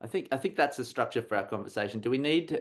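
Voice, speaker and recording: Lively intonation marks this man's speech in an Australian accent. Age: 40s. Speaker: comics artist and university teacher. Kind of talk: casual chat. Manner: halting, many repetitions.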